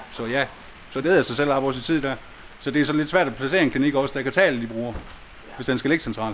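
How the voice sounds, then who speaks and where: Talking at a very fast pace, a man uses a fairly high pitch with ordinary variation. Long, frequent pauses break up his speech. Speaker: heroin user and patient. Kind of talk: interview, discussion.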